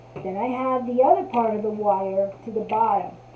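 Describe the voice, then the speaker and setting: A woman speaks very slowly with an American accent. Noticeable background noise runs behind her. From New Jersey. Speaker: crafter. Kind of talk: tutorial. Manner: casual.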